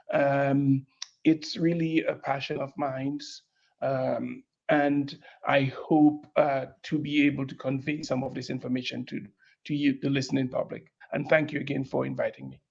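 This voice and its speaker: In a slight Caribbean accent, the speaker talks at a moderate pace with monotone, flat intonation and big swings in loudness. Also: man, fairly high pitch for a man. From Dominica, Caribbean. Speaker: breast oncologist. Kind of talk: panel interview.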